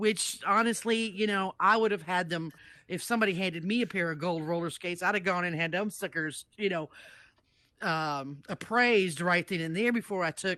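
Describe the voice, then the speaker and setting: An ordinary speaking voice: a woman at a medium pitch with ordinary pitch variation. She keeps a moderate pace against a quiet background. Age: 60s. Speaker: jury foreperson in roleplay court. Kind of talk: casual roleplay court verdict explanation.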